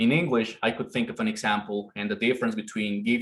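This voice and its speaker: Speaking in a Spanish accent, a man keeps his medium-pitched voice fairly even in intonation. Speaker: conference presenter. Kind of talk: academic presentation.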